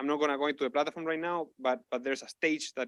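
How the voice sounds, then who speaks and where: A man with a non-native accent talks very fast in a fairly high voice, recorded very cleanly against a silent background with a dry, close sound and no echo. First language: not English. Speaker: researcher presenting a tool. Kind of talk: conference lightning talk. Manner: halting, many repetitions and fillers.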